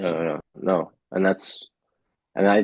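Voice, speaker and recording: Here a man speaks with an American accent. His pitch is very deep and low, at a moderate pace. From California. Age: 20s. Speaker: baseball pitcher. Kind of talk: testimonial interview. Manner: halting.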